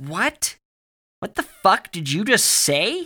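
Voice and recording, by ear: In a put-on character voice, a man shouts loudly at a slow pace, his high pitch making big swings in a bright, sharp tone.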